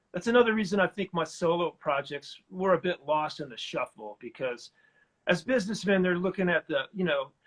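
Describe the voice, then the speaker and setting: Fast-moving and high-pitched, a man talks fairly quickly with an American accent and lively intonation, the sound dry and close with no echo. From US Midwest, Flint, Michigan. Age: 60s. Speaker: singer-songwriter and record producer. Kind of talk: interview. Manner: casual.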